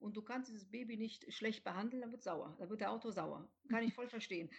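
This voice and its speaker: A somewhat breathy voice talks at a fairly quick pace. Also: woman. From Rhineland, near Cologne, Germany. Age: 40s. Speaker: author, journalist and editor. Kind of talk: podcast interview.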